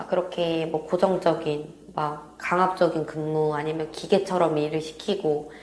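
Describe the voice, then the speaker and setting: Noticeable background noise surrounds a woman with a fairly low pitch who speaks at a fairly slow pace with hardly any pauses. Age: 20s. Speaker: real estate sales consultant. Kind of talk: interview answer.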